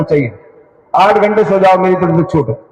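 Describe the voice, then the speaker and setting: A man keeps a moderate pace while music plays behind him. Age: 60s. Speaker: party politician. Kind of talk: political speech.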